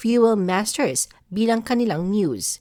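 An ordinary speaking voice from a woman at a fairly slow pace, with ordinary pitch variation, on a very clean recording with a silent background. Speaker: showbiz channel narrator. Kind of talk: scripted narration.

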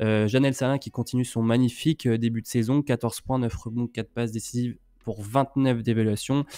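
A man's dark, mellow voice at a moderate pace, monotone and flat, against a quiet background. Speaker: co-host. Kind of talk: casual chat. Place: home room. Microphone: studio mic.

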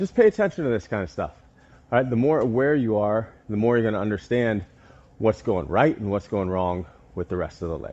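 The speaker is a man with a fairly low pitch. He keeps a moderate pace. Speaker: fitness coach. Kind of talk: tutorial. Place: gym.

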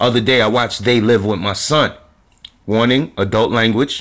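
Fairly quick talk from a man against a quiet background. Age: 40s. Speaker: spiritual commentator. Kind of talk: monologue. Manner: animated. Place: home room. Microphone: phone near.

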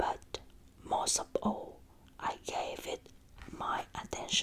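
A woman whispers at a very slow pace. Her tone is gentle. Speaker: ASMR creator. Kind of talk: soft storybook reading. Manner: soft, gentle ASMR reading voice. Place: home room. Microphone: earbuds.

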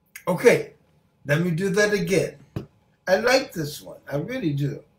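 A man with a high voice talks at a moderate pace, his intonation lively and his loudness swinging widely. The room echo is audible, with light background noise. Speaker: stroke survivor doing voice therapy. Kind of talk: casual talk to camera. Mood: warm, friendly greeting. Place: home room. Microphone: webcam.

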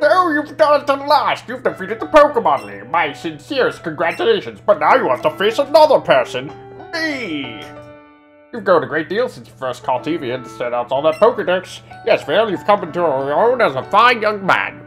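A put-on character voice at a middle pitch, talking at a fairly quick pace. Clear music plays in the background. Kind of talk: video game dialogue read aloud. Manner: grand, congratulatory.

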